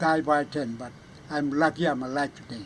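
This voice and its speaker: A man keeps a moderate pace and fairly even intonation as he speaks. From Vanuatu (New Hebrides). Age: 80s+. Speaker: war eyewitness, elder. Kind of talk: oral history testimony. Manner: halting, with repetitions.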